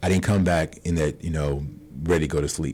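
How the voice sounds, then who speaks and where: This man's pitch is very deep and low, with ordinary pitch variation. He talks at a fairly quick pace. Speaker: insurance broker. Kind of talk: radio interview. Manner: fast.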